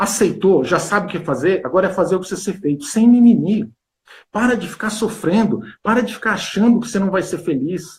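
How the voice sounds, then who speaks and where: Here a man talks at a fairly quick pace with a high pitch and ordinary pitch variation. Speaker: weight-loss coach. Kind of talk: interview on live stream. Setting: Instagram live video. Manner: fast.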